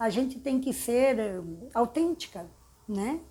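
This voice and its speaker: Very slowly, a woman speaks with a dark, mellow tone, a fairly high pitch and lively intonation, in a very clean recording with a silent background. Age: 60s. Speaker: architect. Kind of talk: interview. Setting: her office.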